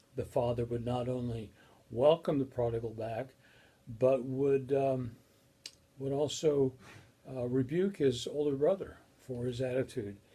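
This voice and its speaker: A man with an American accent talks at a fairly slow pace, leaving long, frequent pauses. His medium-pitched voice is dark, mellow and somewhat breathy, with fairly even intonation. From Colorado, US. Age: 60s. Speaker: professor. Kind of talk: lecture. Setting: recorded video. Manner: halting.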